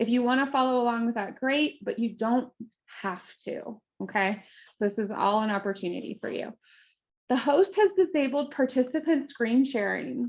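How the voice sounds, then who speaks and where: A woman's high voice with an American accent at a moderate pace. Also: lively intonation, quiet background. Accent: Appalachian, may come out when thoughtful. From US, southern Ohio (Appalachia). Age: 40s. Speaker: career coach, former tech executive. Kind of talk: webinar presentation.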